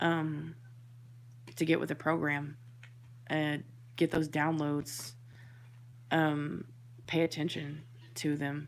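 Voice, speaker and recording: A woman speaks quietly at a very slow pace with a very deep, low pitch. She leaves long, frequent pauses. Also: fairly even intonation. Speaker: tarot reader and spiritual medium. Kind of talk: tarot reading monologue. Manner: hesitant, many fillers; quiet, thoughtful.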